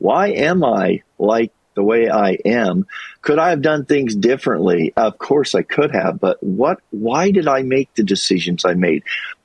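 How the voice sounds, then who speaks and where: With an American accent, a man speaks at a fairly slow pace in a medium pitch, his voice making very wide pitch swings. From US Midwest and Colorado. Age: 60s. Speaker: YouTuber and retail worker, former teacher. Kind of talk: interview conversation. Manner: reflective, halting with fillers.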